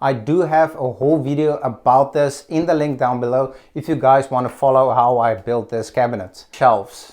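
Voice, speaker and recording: With hardly any pauses, a man in a South African accent talks with ordinary pitch variation against a quiet background. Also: medium pitch for a man, moderate pace. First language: Afrikaans. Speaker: DIY vlogger. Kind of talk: home tour vlog.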